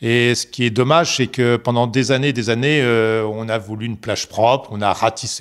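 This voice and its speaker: With a plain, everyday voice, a man talks at a medium pitch and a moderate pace with fairly even intonation and hardly any pauses. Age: 60s. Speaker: local resident, sailor. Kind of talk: documentary interview.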